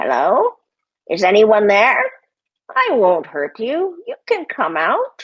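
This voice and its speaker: A woman's put-on character voice, fairly high in pitch, at a fairly slow pace with long, frequent pauses. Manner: feigned friendliness.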